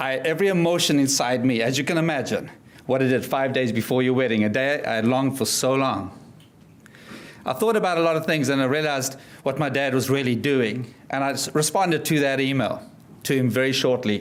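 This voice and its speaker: In a room with audible echo, a man with a South African accent speaks at a medium pitch and a fairly quick pace, his loudness very even. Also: ordinary pitch variation. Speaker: motivational speaker and life coach. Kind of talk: speech to an audience. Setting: stage with audience.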